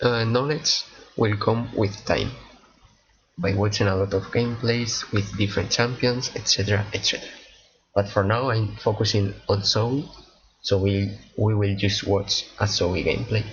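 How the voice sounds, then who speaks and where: A somewhat breathy man with fairly even intonation and long, frequent pauses. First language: not English. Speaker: gaming streamer. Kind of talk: casual gameplay commentary. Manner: halting, many repetitions and fillers.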